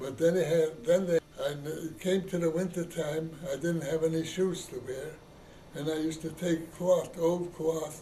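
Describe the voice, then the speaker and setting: A man with a fairly high pitch speaks at a fairly slow pace in fairly even intonation, with audible room echo and noticeable background noise. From Poland. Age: 80s+. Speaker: elderly immigrant interviewee. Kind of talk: oral history interview. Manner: halting, hesitant.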